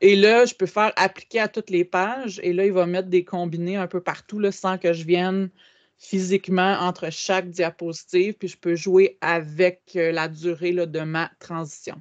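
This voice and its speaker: At a fairly slow pace, the speaker uses fairly even intonation over a quiet background. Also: woman. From Quebec. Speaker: educational technology trainer. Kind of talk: webinar tutorial. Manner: hesitant with frequent fillers. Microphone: video call.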